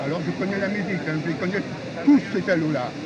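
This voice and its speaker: A man speaks with lively intonation. Crowd noise can be heard behind him. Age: 80s+. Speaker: retired political activist. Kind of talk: heated street discussion. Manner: animated; halting.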